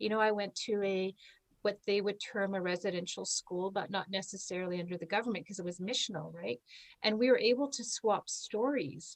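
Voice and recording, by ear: Ordinary pitch variation from a woman at medium pitch, speaking at a fairly quick pace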